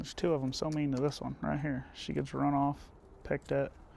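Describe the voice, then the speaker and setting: A man talks at a moderate pace. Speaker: homesteading vlogger. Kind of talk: casual vlog talk. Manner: loud.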